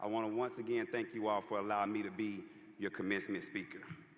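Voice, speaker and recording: With audible room echo, a man in a Louisiana accent speaks at a very fast pace. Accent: US Southern (Louisiana). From Louisiana (Homer). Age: 30s. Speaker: commencement speaker. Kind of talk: commencement speech. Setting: arena stage with audience. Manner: casual, conversational.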